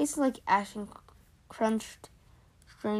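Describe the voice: Ordinary pitch variation in plain reading aloud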